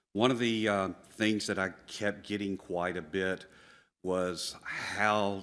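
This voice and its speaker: Monotone and flat, the voice moves at a very slow pace in a very clean recording with a silent background. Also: man. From US South. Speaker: plant tissue culture scientist. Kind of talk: conference talk. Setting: stage with audience.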